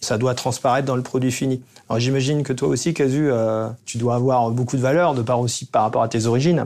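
Recorded very cleanly against a silent background, a man talks at a medium pitch with very even loudness and fairly even intonation. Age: 40s. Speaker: winemaker, cellar master. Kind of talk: casual chat. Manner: hesitant, with many fillers.

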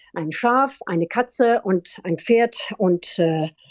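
Her intonation is lively as the woman speaks. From France, raised trilingual, German mother. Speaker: veterinarian and university lecturer, animal welfare officer in horse racing. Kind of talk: interview. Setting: phone call.

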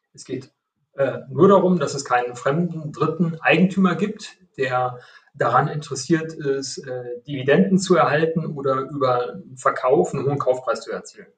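Speaking at a moderate pace, a man with a plain, everyday voice has a fairly high pitch, ordinary pitch variation, and big swings in loudness. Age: 50s. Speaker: IT company executive. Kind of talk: interview.

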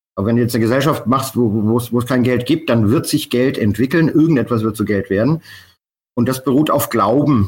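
This man talks fairly quickly at a medium pitch, with ordinary pitch variation and very even loudness. The recording is very clean, with a silent background. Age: 50s. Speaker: bar owner and Bitcoin pioneer. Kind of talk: interview. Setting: call. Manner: halting, many fillers.

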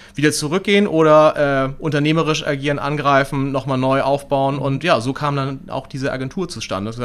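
This man has an unremarkable speaking voice, fairly high in pitch, with fairly even intonation and hardly any pauses. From Hamburg, northern Germany. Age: 30s. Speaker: entrepreneur, company director. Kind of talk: interview. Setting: in person, same room.

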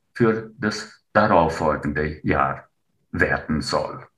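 His delivery is very slow and carries vocal fry. The man's pitch rises and falls over a very wide range. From Romania, Transylvania (Transylvanian Saxon). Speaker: writer and retired teacher. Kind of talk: interview. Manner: hesitant, frequent filler sounds.

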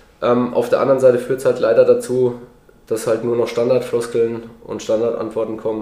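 Noticeable background noise fills the recording, along with audible room echo. A man talks through it. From Lower Franconia, Germany (Würzburg area). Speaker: former professional footballer. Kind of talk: casual interview.

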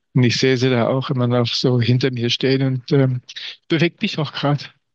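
At a moderate pace, a man speaks in a monotone, flat way, with a dry, close sound and no echo. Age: 50s. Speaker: communication trainer. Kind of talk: interview conversation.

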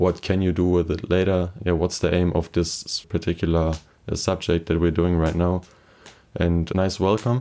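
In a German accent, a man speaks with a very deep, low pitch and a dark, mellow tone. His loudness stays very even and his intonation is flat and monotone. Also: moderate pace. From Germany, Kleve area. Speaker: first-semester student. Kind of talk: interview.

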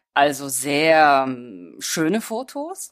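A woman's voice makes very wide pitch swings. The recording is very clean, with a silent background. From Germany and Hungary. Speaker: visual artist. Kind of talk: interview.

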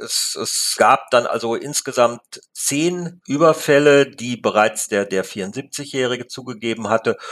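At a very slow pace with hardly any pauses, a man talks using ordinary pitch variation. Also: medium pitch for a man. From Lippe region, Ostwestfalen, Germany. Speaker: newspaper reporter. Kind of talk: interview. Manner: hesitant, many fillers.

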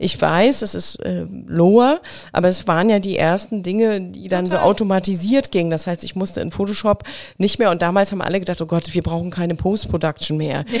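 A woman speaks at a fairly quick clip with a medium-pitched voice. Her pitch moves in an ordinary way. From Mecklenburg, eastern Germany. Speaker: creative agency owner. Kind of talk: interview conversation. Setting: host's studio. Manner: calm.

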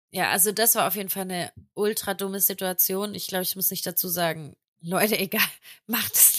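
In a very clean recording with a silent background, a woman talks at a fairly quick pace in a bright, sharp tone, medium in pitch with ordinary pitch variation. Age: 20s. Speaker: podcast co-host. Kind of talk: casual chat.

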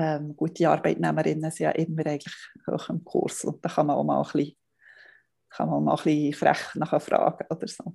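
There is a quiet background. A woman talks at a fairly quick pace. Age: 40s. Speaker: family blogger. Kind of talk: interview.

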